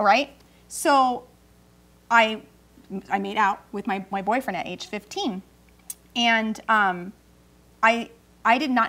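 Her pitch varies in an ordinary way as a woman talks with an American accent. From California. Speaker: talk show co-host and mom; talk show co-host. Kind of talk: casual chat. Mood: candid, personal storytelling. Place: studio.

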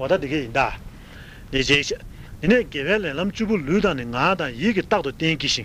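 Using a normal speaking voice, a man talks at a moderate pace with lively intonation. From Tibet. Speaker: Buddhist monk. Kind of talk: sermon.

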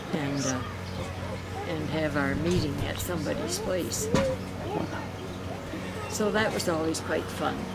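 A woman speaks fairly slowly, pausing long and often, as loud background noise carries on. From Canada. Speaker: elderly interviewee. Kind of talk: interview answer. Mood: warm, nostalgic storytelling. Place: garden.

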